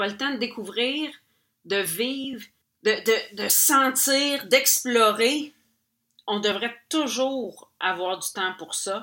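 At a very slow pace, a woman speaks in a bright, sharp, fairly high voice with ordinary pitch variation. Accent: Quebec. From Quebec. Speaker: podcast host and painter. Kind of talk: personal storytelling monologue. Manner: casual, many hesitations.

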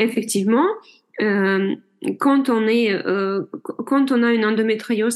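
A woman with a non-native accent and ordinary pitch variation, against a quiet background. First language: not French (speaking French). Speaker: general practitioner and hypnotherapist. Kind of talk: interview.

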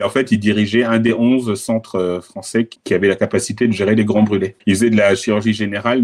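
Fairly low in pitch, a man's voice comes through. He speaks at a fairly quick pace. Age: 50s. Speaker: podcast guest, digital advertising professional. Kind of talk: interview testimony. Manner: hesitant, many fillers.

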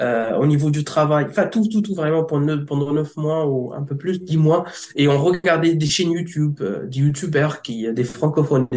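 Moderate pace and ordinary pitch variation from a man with a fairly high voice. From Egypt. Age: 30s. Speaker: translator-interpreter. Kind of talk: interview testimony. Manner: halting.

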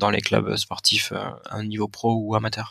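A man's medium-pitched voice at a fairly slow pace. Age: 30s. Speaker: sports psychologist and mental coach. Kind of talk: interview.

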